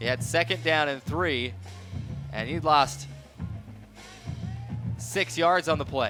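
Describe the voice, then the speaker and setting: Over music in the background, a man talks at a fairly slow pace with lively intonation. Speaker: sports radio play-by-play announcer. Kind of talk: live football radio play-by-play broadcast.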